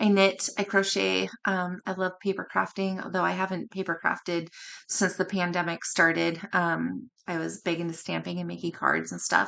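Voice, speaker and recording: Moderate-paced speech from a woman, quiet background. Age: 40s. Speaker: cross-stitch video blogger. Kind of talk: casual show-and-tell vlog. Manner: hesitant, many ums.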